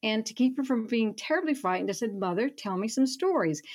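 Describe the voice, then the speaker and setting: A woman with a Southern US accent and very wide pitch swings, over a quiet background. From Alabama, Gulf Coast (Foley). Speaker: writer and professor emerita. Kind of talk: radio interview. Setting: remote call.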